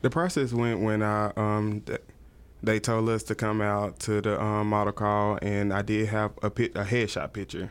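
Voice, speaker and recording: Fairly low in pitch, a man speaks with fairly even intonation. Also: moderate pace. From East Texas (Tyler). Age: 20s. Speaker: model. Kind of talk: casual interview chat.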